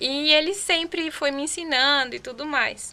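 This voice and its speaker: Recorded very cleanly against a silent background, a woman speaks with a bright, sharp tone. Her pace is fairly slow, and her pitch varies in an ordinary way. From Chile. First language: Spanish (speaking Portuguese). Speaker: podcast guest. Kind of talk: casual chat.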